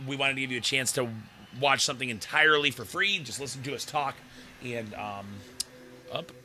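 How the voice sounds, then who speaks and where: With music in the background, a man of medium pitch speaks with long, frequent pauses. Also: ordinary pitch variation, fairly quick pace. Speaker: sports livestream host. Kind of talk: casual chat.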